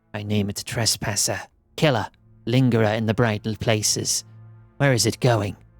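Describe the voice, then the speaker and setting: Putting on a character voice, a man speaks in a medium pitch at a moderate pace with long, frequent pauses as faint music plays in the background. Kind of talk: archaic, formal. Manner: menacing, accusatory.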